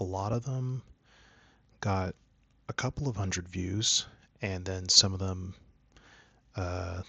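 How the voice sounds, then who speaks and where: Over a quiet background, a man with a very deep, low pitch and a bright, sharp tone speaks at a very slow pace. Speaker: art YouTuber. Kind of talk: casual channel update talk. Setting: home room, not soundproofed. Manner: halting, many fillers; soft-spoken at times.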